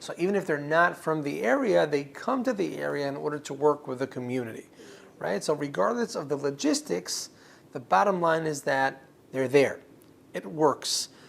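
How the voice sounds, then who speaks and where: At a moderate pace, a fairly high-pitched man with a slight Israeli accent talks with lively intonation. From Israel, Ashkelon in the south. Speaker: director of a community foundation. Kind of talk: interview.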